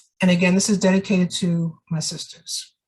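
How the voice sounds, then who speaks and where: Somewhat breathy, a woman speaks with a New York accent. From New York (Jamaica, Queens). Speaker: poet. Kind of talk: casual talk about her books; poetry reading.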